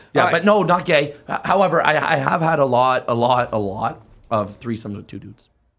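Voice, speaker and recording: A man talks with a plain, everyday voice at medium pitch. His pace is fairly quick and his intonation lively. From Canada. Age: 40s. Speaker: event promoter. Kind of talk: casual chat.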